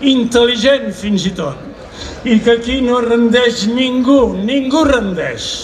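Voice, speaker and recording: Light background noise sits under a man's voice at an extremely high pitch. He goes at a very slow pace, with ordinary pitch variation. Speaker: speaker. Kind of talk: political speech. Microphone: podium.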